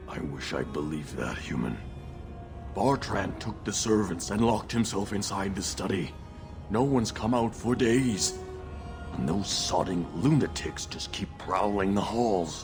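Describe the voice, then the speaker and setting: A man puts on a cartoonish character voice, fairly low in pitch, at a moderate pace. Loud music plays behind him. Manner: fearful, hushed.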